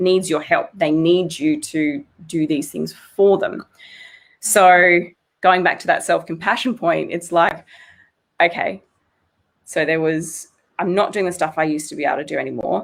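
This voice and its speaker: A woman with an Australian accent talks at a moderate pace in a fairly low pitch with vocal fry. Her pitch varies in an ordinary way, and she takes long, frequent pauses. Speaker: psychologist. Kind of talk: interview.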